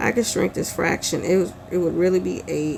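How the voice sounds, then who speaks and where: Over clear background noise, the speech moves along at a middling speed. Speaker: teacher. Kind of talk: tutorial.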